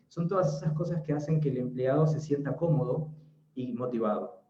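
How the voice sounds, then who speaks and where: A man at a medium pitch speaks with an Argentine accent, with audible room echo. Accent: Argentine Spanish (Rioplatense). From Argentina. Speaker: interior designer. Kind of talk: webinar talk.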